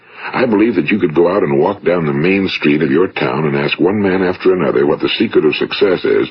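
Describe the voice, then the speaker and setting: A man with an American accent at a very fast pace, over noticeable background noise. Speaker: motivational speaker and radio host. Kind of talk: motivational speech, recorded audio lecture.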